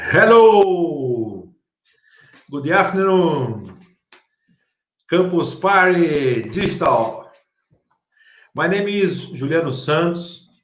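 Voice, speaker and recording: A high-pitched man with a Brazilian Portuguese accent talks at a very slow pace, leaving long, frequent pauses. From Brazil, Curitiba. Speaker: startup founder. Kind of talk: conference talk. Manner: halting.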